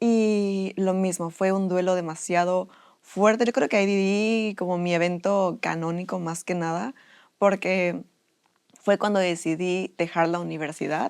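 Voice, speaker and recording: Fairly slow and fairly even in intonation, the speech comes through on a very clean recording with a silent background. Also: woman, medium pitch for a woman. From Mexico, Puebla. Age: 20s. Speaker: student. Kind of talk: interview.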